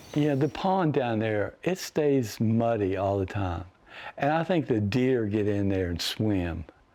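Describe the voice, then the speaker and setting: Speaking with an Appalachian accent, a man uses a medium pitch and a dark, mellow tone. His intonation is lively and his pace fairly slow. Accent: Appalachian American. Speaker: painter. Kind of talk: interview. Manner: soft-spoken.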